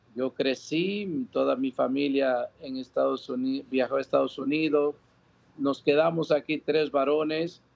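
A man with a normal speaking voice, fairly high in pitch, at a fairly slow pace with fairly even intonation. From Dominican Republic. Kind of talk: interview testimony. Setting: outdoor patio, remote link.

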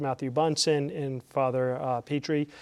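A man with an ordinary speaking voice talks fairly slowly at a fairly high pitch, his intonation fairly even. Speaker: network programming representative. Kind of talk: event announcements.

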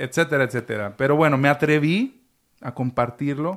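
Recorded very cleanly with a silent background, a man speaks fairly slowly at a fairly high pitch with ordinary pitch variation. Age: 30s. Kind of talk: casual chat.

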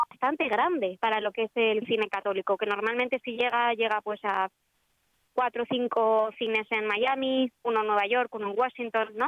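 In a Madrid accent, a woman speaks at a fairly high pitch. Her pace is moderate and her intonation fairly even. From Spain. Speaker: film distributor. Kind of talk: radio interview.

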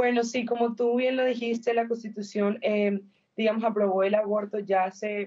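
Her pitch is fairly high, and her tone is dark and mellow. The woman speaks in a monotone with flat intonation. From Colombia. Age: young. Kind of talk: interview.

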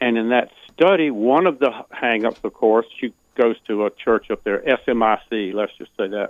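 Here is an ordinary speaking voice from a man with an American accent. He talks at a fairly slow pace and medium pitch, with ordinary pitch variation.

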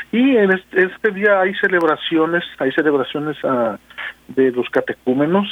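In a plain, everyday voice, a man speaks at a moderate pace, his pitch varying in an ordinary way. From Mexico, Guadalajara, Jalisco. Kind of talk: radio interview.

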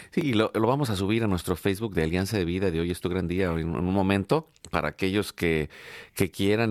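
In a Mexican accent, a man speaks at a fairly low pitch with ordinary pitch variation. The sound is dry and close with no echo, and the recording is very clean with a silent background. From Mexico. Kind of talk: live radio interview. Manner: halting, many fillers and repetitions.

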